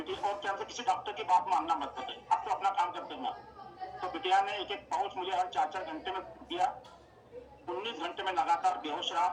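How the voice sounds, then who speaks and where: The man's voice is high-pitched, with fairly even intonation. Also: moderate pace. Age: 60s. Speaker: product user giving a health testimonial. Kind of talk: testimony. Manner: halting, many fillers.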